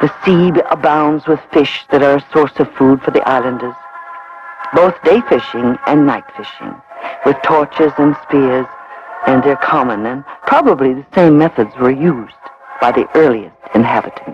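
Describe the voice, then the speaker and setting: Clear music plays in the background of a dry recording with no echo. A man talks at a moderate pace with ordinary pitch variation. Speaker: documentary narrator. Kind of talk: documentary narration. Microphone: old recording.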